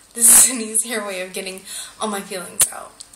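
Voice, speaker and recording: A woman at a medium pitch is heard through audible room echo and noticeable background noise. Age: 20s. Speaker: vlogger. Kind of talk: video diary. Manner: halting, many fillers.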